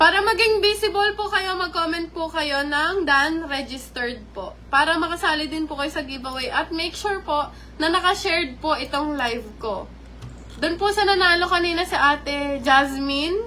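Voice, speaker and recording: The speaker uses a raised, projected voice at a moderate pace, with ordinary pitch variation. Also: woman, extremely high pitch for a woman. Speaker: live-stream vlogger. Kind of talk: live stream chat with viewers. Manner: polite, uses po constantly.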